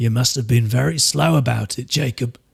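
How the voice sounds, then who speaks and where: Using a put-on character voice, a man at medium pitch sounds raspy, with lively intonation and a moderate pace. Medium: read story. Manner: timid, deferential.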